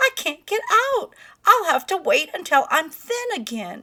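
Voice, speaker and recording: A put-on character voice with very wide pitch swings at a moderate pace. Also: woman, extremely high pitch for a woman. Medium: read story. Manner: sly, playful.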